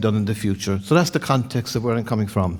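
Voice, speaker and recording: Fairly even intonation marks this man's speech in an Irish accent. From Ireland. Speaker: insurance loss prevention director and former mariner. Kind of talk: conference talk. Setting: stage with audience. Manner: fast.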